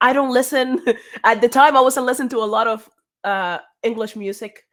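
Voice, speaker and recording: A woman with a Spanish accent speaks at a fairly quick pace on a very clean recording with a silent background. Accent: Spanish accent in English, noticeable. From Cuba. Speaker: singer. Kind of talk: interview.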